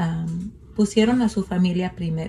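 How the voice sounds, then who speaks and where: Woman's dark, mellow, somewhat breathy voice of medium pitch at a very slow pace. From Mexico, western Sierra Madre. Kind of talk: testimony. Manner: halting.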